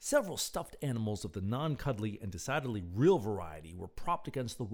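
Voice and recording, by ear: Someone reads aloud here in a natural voice.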